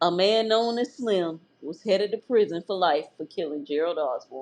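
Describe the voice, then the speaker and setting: A woman with an American accent uses a normal speaking voice at medium pitch, with lively intonation and a moderate pace. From Florida. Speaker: true crime podcast host. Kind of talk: true crime podcast narration with casual chat.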